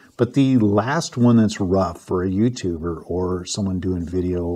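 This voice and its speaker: At a moderate pace, a man with an unremarkable speaking voice talks with lively intonation. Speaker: photography reviewer. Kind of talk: product review talk. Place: home room. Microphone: lapel.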